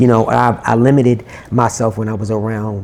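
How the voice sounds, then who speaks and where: Over noticeable background noise, a soft-spoken man with a fairly low pitch talks at a moderate pace in a flat monotone. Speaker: R&B singer-songwriter. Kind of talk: interview.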